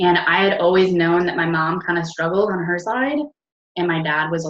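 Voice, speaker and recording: A woman with a normal speaking voice, fairly low pitch and an American accent talks at a moderate pace. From upstate New York. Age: 20s. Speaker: network marketing team leader. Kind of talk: casual personal story to team. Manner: casual, filler-heavy.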